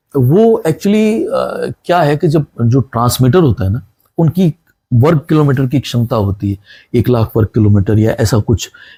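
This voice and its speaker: With very wide pitch swings, a man talks in a somewhat breathy way. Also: medium pitch for a man. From Rajasthan, India. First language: Punjabi (speaking Hindi). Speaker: retired radio broadcaster. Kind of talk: interview.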